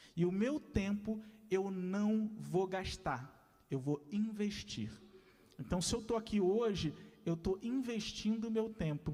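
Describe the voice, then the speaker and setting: A man is speaking. His tone is dark and mellow. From Rio de Janeiro, west zone (Senador Camará). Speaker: lecturer, arts educator. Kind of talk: lecture.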